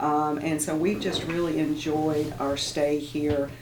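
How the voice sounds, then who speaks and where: A woman's very deep, low voice at a fairly slow pace, with audible room echo. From Tennessee. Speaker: university president. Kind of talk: radio interview. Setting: radio studio. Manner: halting, repeats words.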